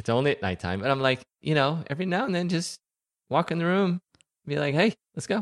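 A fairly high-pitched man with an American accent, lively intonation, a very fast pace and long, frequent pauses, in a dry, close recording with no echo, very clean with a silent background. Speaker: podcast co-panelist. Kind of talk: casual chat.

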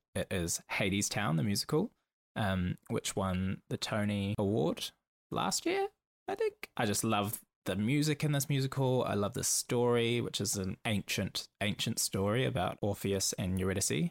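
A man with a fairly low pitch speaks at a moderate pace with lively intonation and very even loudness, the sound dry and close with no echo on a very clean recording with a silent background. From New Zealand, Auckland. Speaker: podcast host, performer. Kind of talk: solo podcast monologue.

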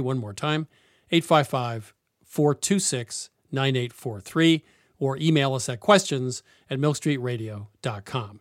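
Heard in a dry, close sound with no echo, a man with an ordinary speaking voice and an American accent speaks at a moderate pace, fairly high in pitch, with lively intonation. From Vermont, US. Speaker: radio host of a cooking show. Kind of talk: interview and call-in chat. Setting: radio studio.

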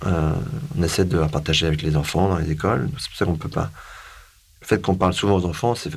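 Pitched very deep and low, a man talks at a very fast pace yet leaves long, frequent pauses. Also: ordinary pitch variation. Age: 40s. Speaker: sailor and foundation director. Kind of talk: interview. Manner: halting.

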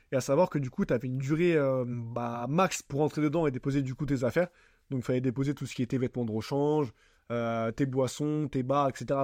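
In an ordinary speaking voice, someone talks at a fairly quick pace with ordinary pitch variation over a quiet background. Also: man, dry, close sound with no echo. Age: 20s. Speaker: podcast host. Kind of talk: casual solo monologue. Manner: casual, filler-heavy.

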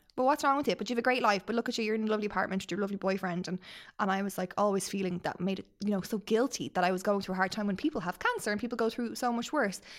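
A woman at medium pitch talks at a very fast pace. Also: ordinary pitch variation. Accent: Irish. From Ireland. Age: 30s. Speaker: podcast guest. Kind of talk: casual chat.

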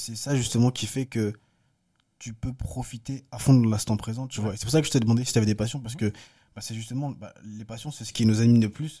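On a very clean recording with a silent background, a man speaks very fast in a somewhat breathy voice with a dark, mellow tone and fairly even intonation. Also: medium pitch for a man. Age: 20s. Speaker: film director and photographer. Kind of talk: casual chat.

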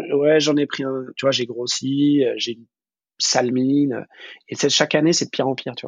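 The man's intonation is monotone and flat. He talks at a moderate pace. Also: fairly high pitch for a man. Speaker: food business manager. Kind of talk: casual interview. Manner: halting, many repetitions and fillers.

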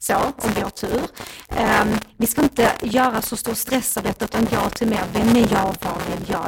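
A woman speaks at a moderate pace with a fairly high pitch and ordinary pitch variation. Noticeable background noise is present. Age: 40s. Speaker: dating coach. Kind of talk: casual chat. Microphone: microphone problems at end, rustling sound.

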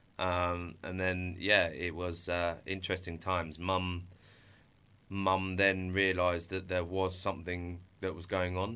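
Pitched very deep and low, a man speaks at a fairly slow pace in a bright, sharp tone with monotone, flat intonation and audible room echo. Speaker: entrepreneur. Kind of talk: testimony. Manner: halting.

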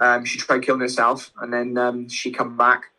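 This man's voice sits at medium pitch with a bright, sharp tone. He speaks at a fairly quick pace. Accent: British. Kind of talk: casual interview. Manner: halting; stammers when tired.

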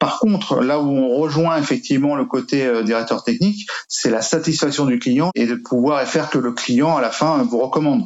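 With lively intonation and very even loudness, a man with a fairly high pitch speaks at a moderate pace. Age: 50s. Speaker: real estate agency owner. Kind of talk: interview testimony. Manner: hesitant, repeats words.

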